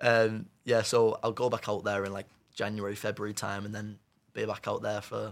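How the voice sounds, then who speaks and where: With a Cumbrian accent, a man speaks at a moderate pace in a fairly low voice. His intonation stays monotone and flat, while his loudness swings widely. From northern England, Carlisle. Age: young. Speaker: amputee footballer, goalkeeper. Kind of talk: casual chat. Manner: halting.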